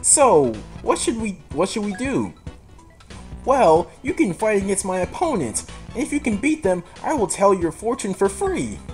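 Over clear background music, a put-on character voice at a middle pitch moves at a fairly slow pace with long, frequent pauses. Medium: game stream. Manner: brisk, haughty.

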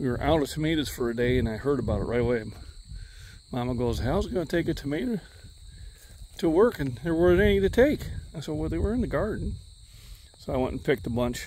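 Over light background noise and with a dry sound with no echo, a man races at a very fast pace, his dark, mellow tone carrying vocal fry and very wide pitch swings. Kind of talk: casual vlog chat. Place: garden. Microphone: phone near.

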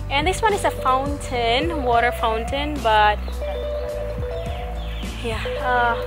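The sound is dry, with no echo. Clear music plays in the background. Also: woman. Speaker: travel vlogger. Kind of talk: casual vlog chat. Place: garden. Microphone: phone near.

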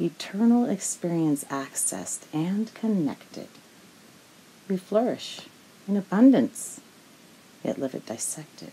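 A woman speaks at medium pitch with very wide pitch swings and noticeable background noise. Her pace is fairly slow, broken by long, frequent pauses. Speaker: spoken word poet. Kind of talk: spoken word poem, performed with rhythmic rhyme and internal wordplay.

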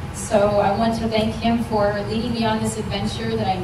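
Amid loud background noise and audible room echo, a woman talks at a fairly quick pace. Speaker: auction school graduate. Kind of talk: graduation acceptance speech. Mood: grateful, emotional. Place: hall.

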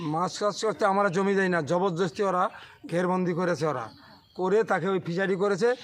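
With ordinary pitch variation, this man talks at a high pitch. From West Bengal, Sandeshkhali area. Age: old. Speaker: villager protesting land grabs. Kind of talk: street interview.

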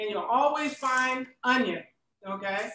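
Projecting her voice in a bright, sharp tone, a woman with an American accent speaks very slowly at a high pitch. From Tampa, Florida. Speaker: cooking show host and producer. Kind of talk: interview. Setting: video call.

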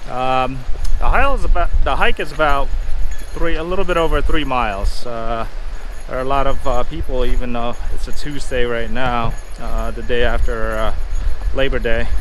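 Recorded with a dry sound and no echo, a man talks at a moderate pace over light background noise. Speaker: family travel vlogger. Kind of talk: casual vlog chat. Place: open country. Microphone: phone near.

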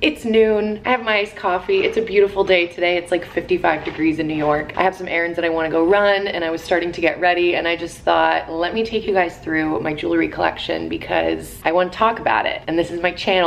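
Over light background noise, a woman talks at a very fast pace with hardly any pauses, her fairly low voice showing ordinary pitch variation. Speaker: vlogger. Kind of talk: casual vlog chat. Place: home room. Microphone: phone near.

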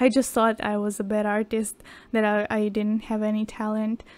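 Her tone is dark and mellow. The woman's pitch sits fairly high. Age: 20s. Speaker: art YouTuber. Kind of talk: casual talk while painting. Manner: hesitant, many fillers.

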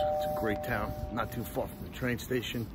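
A man at a fairly quick pace with ordinary pitch variation, dry with no echo, amid noticeable background noise. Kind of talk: casual promotional vlog talk. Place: street. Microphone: phone near.

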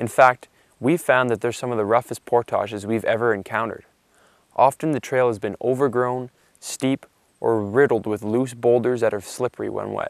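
The sound is dry with no echo, and the background is quiet. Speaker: presenter. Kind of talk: documentary narration to camera. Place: forest. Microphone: lapel.

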